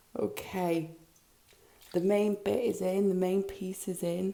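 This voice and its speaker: A woman at a very slow pace with noticeable background noise. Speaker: craft vlogger. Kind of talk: casual vlog. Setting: at a kitchen sink. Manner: hesitant, many ums.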